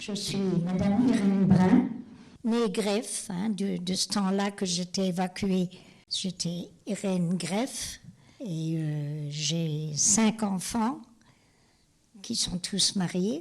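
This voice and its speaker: A woman's very slow, somewhat breathy speech with ordinary pitch variation and long, frequent pauses, on a very clean recording with a silent background. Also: medium pitch for a woman. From Lorraine, France (Moselle). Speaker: homemaker, evacuation witness. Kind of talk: interview testimony.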